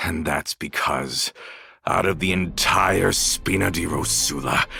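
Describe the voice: In a put-on character voice, a man speaks slowly at a low pitch, his bright, sharp tone carrying vocal fry and a husky, rough edge. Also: ordinary pitch variation.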